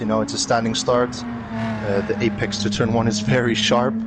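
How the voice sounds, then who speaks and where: With a Dutch accent, a man talks at a moderate pace over noticeable background noise. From Netherlands. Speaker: sim racer, guest analyst. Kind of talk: race commentary analysis. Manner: hesitant, many fillers.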